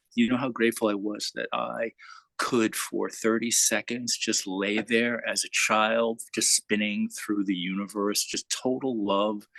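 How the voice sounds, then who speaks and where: Moderately paced speech from a man, dry and close with no echo. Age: 60s. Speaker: satsang participant. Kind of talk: personal sharing in spiritual group.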